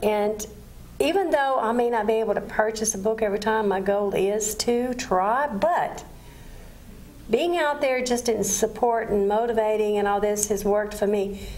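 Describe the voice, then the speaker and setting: Moderate pace, ordinary pitch variation and very even loudness, with audible room echo and noticeable background noise. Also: woman, fairly high pitch for a woman. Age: 60s. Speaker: TV talk show host. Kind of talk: TV interview.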